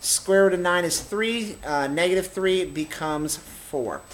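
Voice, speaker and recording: This man speaks with a high pitch. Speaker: math teacher. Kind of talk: tutorial.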